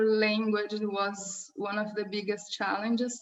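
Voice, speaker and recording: With a Portuguese accent, a woman speaks at a fairly slow pace and fairly high pitch. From southern Brazil. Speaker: marketing head. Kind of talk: interview.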